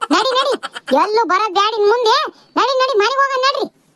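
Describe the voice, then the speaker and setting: In a cartoonish character voice, a woman sounds squeaky and extremely high-pitched, keeping a moderate pace, ordinary pitch variation and very even loudness. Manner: scolding, nagging.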